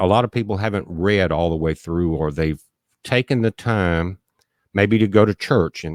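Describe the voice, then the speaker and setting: The voice shows ordinary pitch variation on a very clean recording with a silent background and a dry, close sound with no echo. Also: man. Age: 60s. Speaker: livestream host on prophecy and survival topics. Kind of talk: live stream talk with Bible teaching. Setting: home studio with mixing board and headphones.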